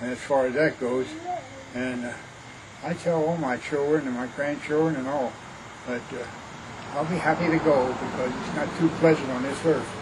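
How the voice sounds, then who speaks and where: Over noticeable background noise and audible room echo, a man with an American accent talks at a moderate pace, his fairly high pitch carried in fairly even intonation. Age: 80s+. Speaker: elderly grandfather sharing family history. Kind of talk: oral history interview. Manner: halting.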